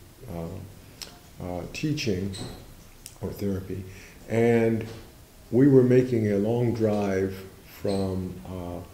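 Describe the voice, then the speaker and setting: The speaker has an American accent, and the recording carries audible room echo. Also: man. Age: 60s. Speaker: Zen teacher. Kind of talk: interview. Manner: halting.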